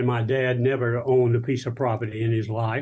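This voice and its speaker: Against a quiet background, a man with an Alabama accent speaks at medium pitch in a somewhat breathy voice with a dark, mellow tone and monotone, flat intonation. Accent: Southern US (Alabama). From US South, South Alabama. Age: 80s+. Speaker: minister. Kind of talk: interview, life story. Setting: video call.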